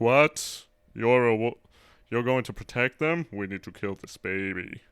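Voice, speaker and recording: In a put-on character voice, a man speaks at a medium pitch in a very clean recording with a silent background. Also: moderate pace. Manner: breathy, menacing.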